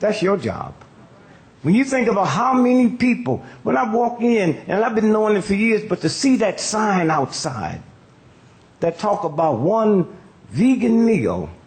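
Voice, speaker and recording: Here is a man with an American accent and a high pitch, speaking at a fairly slow pace. His intonation is lively, and there is noticeable background noise. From United States. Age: 80s+. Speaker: comedian and civil rights activist. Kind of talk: stand-up comedy speech.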